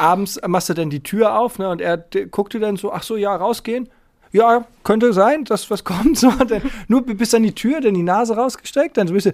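A high-pitched man at a moderate pace, with ordinary pitch variation. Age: 40s. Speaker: podcast host. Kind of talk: casual chat.

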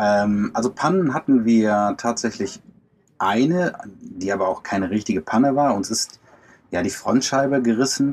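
This is an unremarkable speaking voice at a moderate pace. Its intonation is lively. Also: man, medium pitch for a man. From Germany. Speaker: van lifer and traveller. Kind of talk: casual interview. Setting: video call from inside a camper van.

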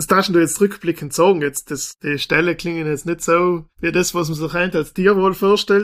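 A man talks at a fairly quick pace in a high voice with fairly even intonation. The recording is very clean, with a silent background. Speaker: podcast host, magazine editor-in-chief. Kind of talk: interview.

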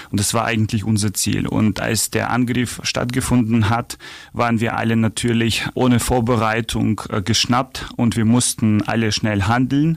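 In a Ukrainian accent, a man talks at a moderate pace with monotone, flat intonation and very even loudness. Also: medium pitch for a man. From Ukraine. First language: Ukrainian (speaking German). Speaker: charity association vice chair. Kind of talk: interview.

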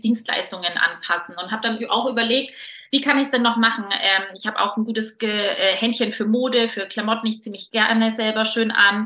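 Pitched fairly high, a woman speaks at a moderate pace with monotone, flat intonation. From Franconia, Germany (Nuremberg). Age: 30s. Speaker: entrepreneur and style coach. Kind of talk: interview.

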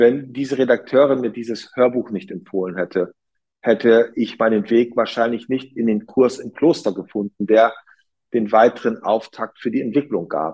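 Using a plain, everyday voice, a man talks in a medium pitch at a moderate pace with ordinary pitch variation. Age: 40s. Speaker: hotel entrepreneur. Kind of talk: interview.

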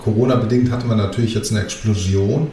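A man speaks at a medium pitch in a room with audible echo. Noticeable background noise runs underneath. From Germany, Greek family. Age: 40s. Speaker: construction company managing director. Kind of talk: interview.

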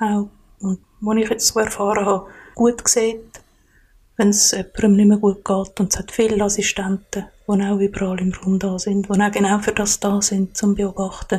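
A woman speaks at a moderate pace and medium pitch, her dark, mellow tone somewhat breathy and her intonation monotone and flat. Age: 40s. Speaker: podcast guest. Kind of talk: personal interview. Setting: kitchen at home.

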